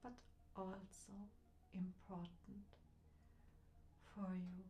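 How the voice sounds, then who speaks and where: Soft-spoken and very slow, the voice sits against noticeable background noise. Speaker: meditation guide. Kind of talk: ASMR guided relaxation.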